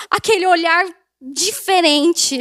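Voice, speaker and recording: A woman's extremely high voice, very slow, with fairly even intonation. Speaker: preacher. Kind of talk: sermon. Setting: church.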